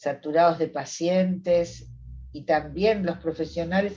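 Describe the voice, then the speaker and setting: A woman with a Rioplatense accent talks at a fairly slow pace, her fairly low pitch somewhat breathy with a dark, mellow tone. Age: 70s. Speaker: psychologist. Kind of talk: interview conversation.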